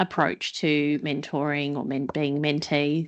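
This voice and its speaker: Speaking at a fairly slow pace, a woman is heard over a quiet background. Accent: Australian. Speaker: panelist, port executive. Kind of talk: panel discussion.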